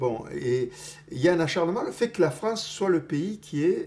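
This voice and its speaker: A man's somewhat breathy voice, fairly slow in pace, with lively intonation. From Toulouse. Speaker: political activist and intellectual. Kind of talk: interview answer.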